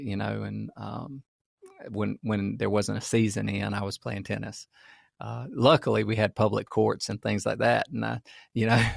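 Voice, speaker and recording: A man speaks with an American accent at a fairly slow pace. The sound is dry and close, with no echo. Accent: Southern, toned down over the years. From US South, rural farm. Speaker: podcast co-host. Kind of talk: casual chat.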